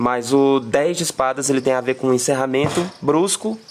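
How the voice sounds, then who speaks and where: A man's voice at a moderate pace with ordinary pitch variation, over noticeable background noise. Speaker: tarot reader. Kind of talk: live stream tarot reading. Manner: halting, many fillers and repeats.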